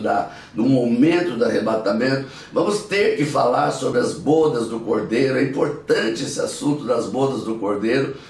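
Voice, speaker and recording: Noticeable background noise and audible room echo surround this recording. A man speaks at a moderate pace with a medium pitch. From Brazil, Minas Gerais. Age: 70s. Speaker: pastor. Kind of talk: bible teaching.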